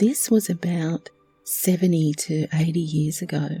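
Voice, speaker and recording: A woman speaks quietly and in a calm tone with an Australian accent, her pitch fairly low and her pace fairly slow. Music plays in the background. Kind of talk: relaxing true story narration. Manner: quiet, calm.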